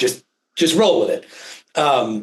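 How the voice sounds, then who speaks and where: This is a man's voice. He speaks in a New Jersey accent. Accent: New Jersey American. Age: 40s. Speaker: physician and healthcare advisor. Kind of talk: interview presentation. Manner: fast.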